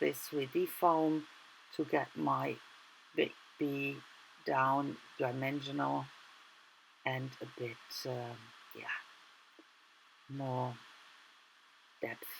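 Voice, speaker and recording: Speaking at a very slow pace, a woman leaves long, frequent pauses, and her loudness swings widely. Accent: German. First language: German. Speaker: art journaling YouTuber. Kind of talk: tutorial. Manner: casual, halting.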